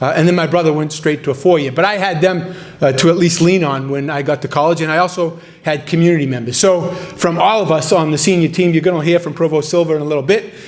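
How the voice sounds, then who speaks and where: Noticeable background noise sits under a man talking at a very fast pace. His pitch is fairly high and his intonation fairly even. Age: 60s. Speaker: university president. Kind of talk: ceremony speech.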